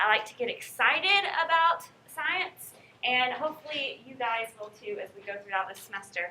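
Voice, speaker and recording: A woman with a slight Southern US accent speaks in a high pitch at a moderate pace, with very wide pitch swings. Her voice is raised and projected, with an animated tone. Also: big swings in loudness. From North Carolina. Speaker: college professor. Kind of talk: lecture. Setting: classroom.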